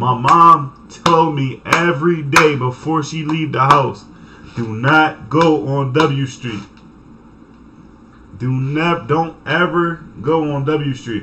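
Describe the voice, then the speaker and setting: A man's very slow delivery with long, frequent pauses, ordinary pitch variation and light background noise. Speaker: streamer. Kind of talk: casual story time vlog. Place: home room. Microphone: headset.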